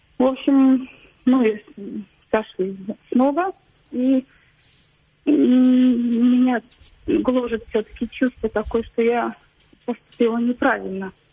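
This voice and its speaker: A high-pitched woman at a very slow pace, with long, frequent pauses and ordinary pitch variation. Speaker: caller. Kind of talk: phone-in personal story. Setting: phone call. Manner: halting, hesitant.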